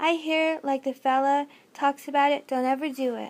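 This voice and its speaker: A woman uses a put-on character voice, pitched high. Her delivery is flat and monotone at a moderate pace. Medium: read story. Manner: casual, friendly.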